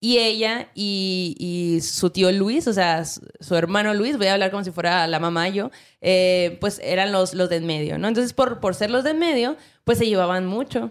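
The recording is very clean, with a silent background. A woman with a normal speaking voice talks at a medium pitch and moderate pace with ordinary pitch variation. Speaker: podcast host. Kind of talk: casual chat.

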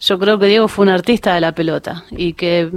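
In a Rioplatense accent, a woman speaks at a medium pitch. Her pace is moderate and her pitch variation ordinary. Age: 50s. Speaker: women's football coach. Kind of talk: radio interview. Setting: radio studio.

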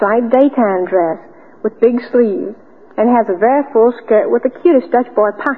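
A woman with a fairly high pitch talks in a normal speaking voice, her pitch varying in an ordinary way. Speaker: cotton industry ambassador, debutante. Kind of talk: old-time radio drama, interview segment. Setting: radio studio. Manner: polite, bright, chatty, formal.

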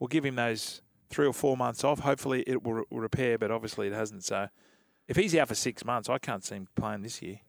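With an Australian accent, a man speaks at a fairly quick pace and medium pitch, using ordinary pitch variation, in a dry, close sound with no echo. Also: very clean recording, silent background. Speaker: radio co-host, former rugby league player. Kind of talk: casual sports radio chat. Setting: radio studio.

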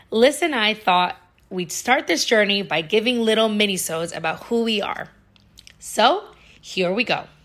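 Lively in intonation and fairly high in pitch, a woman with an American accent speaks at a fairly slow pace. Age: 30s. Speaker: podcast host. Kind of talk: scripted narration.

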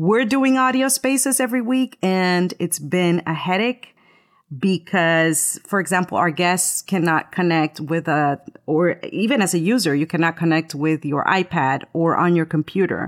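A woman with a Spanish accent speaks at a moderate pace in a fairly low voice, with lively intonation and very even loudness. The recording is very clean with a silent background, and the sound is dry and close with no echo. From Latin America, moved to US in seventh grade. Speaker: voiceover artist and podcaster. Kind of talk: casual chat. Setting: live stream.

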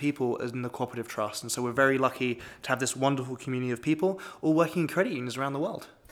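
Talking very fast, a man with a British accent uses a fairly high pitch and fairly even intonation. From Britain. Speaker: manager of a young adult professional network. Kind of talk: podcast interview.

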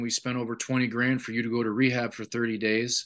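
Over a quiet background, a man with an Ontario accent talks at a medium pitch in a flat monotone. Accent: Canadian (Ontario). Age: 40s. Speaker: retired hockey player, recovery speaker. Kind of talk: interview, personal testimony.

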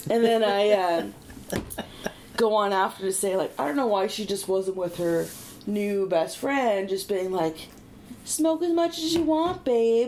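A woman's medium-pitched voice with very wide pitch swings and a fairly slow pace, over noticeable background noise. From Prince Edward Island, Canada. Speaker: stand-up comedian. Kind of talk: casual chat.

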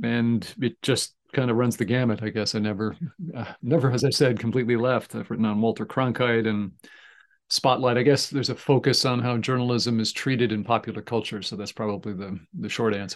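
Against a quiet background, a man talks at a fairly quick pace in an ordinary speaking voice, medium in pitch with fairly even intonation. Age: 60s. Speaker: communication professor and former sports reporter. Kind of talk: interview.

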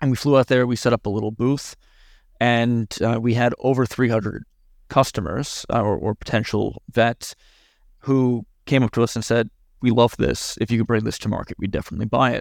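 A man's plain, everyday voice with an American accent, medium in pitch, at a fairly quick pace, on a very clean recording with a silent background and a dry, close sound with no echo. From New York. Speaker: biotech company founder and CEO. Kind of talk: interview.

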